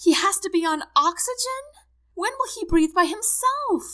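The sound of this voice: In a put-on character voice, the speaker sounds shrill and fairly bright, moving at a fairly slow pace with lively intonation. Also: woman, extremely high pitch for a woman.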